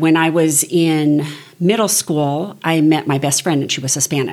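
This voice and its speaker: A woman talks in an ordinary speaking voice with an American accent. Her pitch is fairly low and her pace fairly slow. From Southern California. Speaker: small group leader. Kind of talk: interview.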